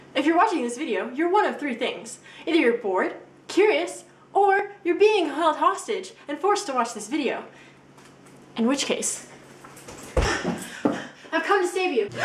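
A woman's extremely high voice with long, frequent pauses, audible room echo and light background noise. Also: fairly slow pace. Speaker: vlogger. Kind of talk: casual vlog chat. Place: home room.

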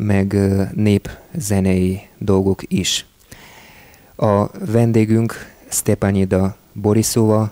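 Delivered at a very slow pace with fairly even intonation, the speech has a dry sound with no echo and a quiet background. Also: man, fairly low pitch for a man. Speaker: radio host. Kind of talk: radio show introduction. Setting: studio. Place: studio.

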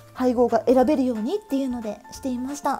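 A woman talks fairly quickly. Music plays behind her. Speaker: stationery YouTuber. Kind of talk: casual talk to camera.

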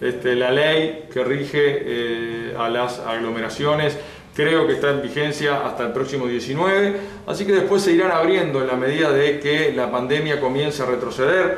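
Moderate pace and ordinary pitch variation, with audible room echo. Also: man, fairly high pitch for a man. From Uruguay, Lavalleja department. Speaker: local government head. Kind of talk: interview. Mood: calm, serious. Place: office. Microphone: phone near.

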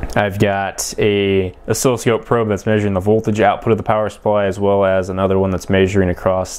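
A man talks in an unremarkable speaking voice with a fairly low pitch. His pace is fairly quick and his intonation fairly even. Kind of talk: tutorial. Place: workshop.

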